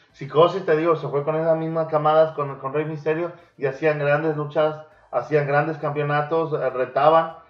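A man speaks at a moderate pace in a flat, monotone delivery, his pitch fairly high, with music playing behind him. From Mexico. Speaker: podcast host. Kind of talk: casual chat; storytelling about wrestling history.

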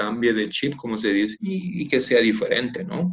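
A man speaks in an ordinary speaking voice, medium in pitch with ordinary pitch variation. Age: 50s. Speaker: former footballer and coach. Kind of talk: interview.

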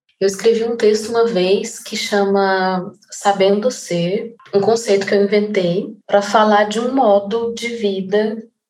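A woman talks very slowly in a medium pitch. Her intonation is monotone and flat, and audible room echo surrounds her voice. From Goiânia, Brazil. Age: 30s. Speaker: artist. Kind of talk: interview monologue.

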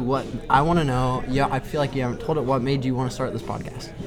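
Over background music and audible room echo, a man with a fairly high pitch talks at a fairly quick pace with fairly even intonation. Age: 20s. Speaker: skateboarder. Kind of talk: casual chat. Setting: in a bar.

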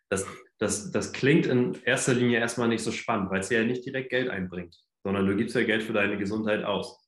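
Audible room echo surrounds a man speaking at a moderate pace, with a medium pitch and ordinary pitch variation. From northern Germany, Hamburg. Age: 20s. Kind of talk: casual chat.

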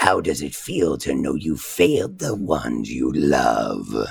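In a put-on character voice, a woman growls out a raspy, menacing tone at a very deep, low pitch and a fairly slow pace. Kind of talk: tabletop game master villain voice, demo-reel acting. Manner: calm, psychologically cruel; menacing, taunting, contemptuous.

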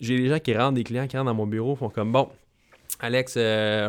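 A man with a Quebec accent speaks with fairly even intonation on a very clean recording with a silent background. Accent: Québécois French. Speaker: fitness coach and podcast host. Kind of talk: solo podcast monologue. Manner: casual, with English interjections.

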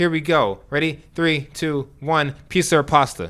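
With an American accent, a man speaks in a bright, sharp tone at a fairly high pitch, his pitch varying in an ordinary way in a very clean recording with a silent background. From New York. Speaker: podcast co-host. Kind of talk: casual chat.

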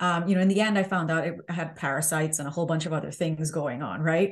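A woman speaks at a fairly quick pace in a fairly low pitch with ordinary pitch variation. Her voice is somewhat breathy, and the background is quiet. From Southern Caribbean. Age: 40s. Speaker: health coach and author. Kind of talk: interview.

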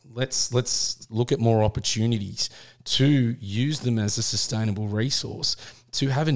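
Here a man with an Australian accent talks with fairly even intonation. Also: very clean recording, silent background. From Australia, Sydney. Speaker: hunting podcast co-host. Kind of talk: casual chat.

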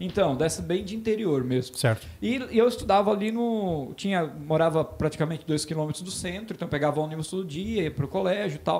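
At a fairly quick pace and with hardly any pauses, a man talks in a high voice with lively intonation. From Santa Catarina, Brazil (Botuverá). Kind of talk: casual chat.

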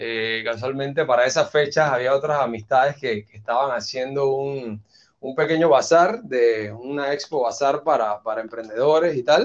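A man with a Panamanian accent speaks at a moderate pace. His pitch is fairly high, with ordinary variation. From Panama, Chiriquí (David). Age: 30s. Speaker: entrepreneur and banker. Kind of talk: interview conversation. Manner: halting, many fillers and repetitions.

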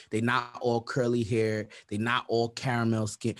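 Moving at a moderate speed, this man's voice sits at a medium pitch. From Brooklyn, New York (Brownsville). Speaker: podcast producer. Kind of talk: casual chat.

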